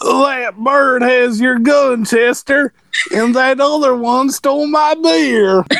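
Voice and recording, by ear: A man puts on a character voice, pitched extremely high for a man and delivered at a very slow pace.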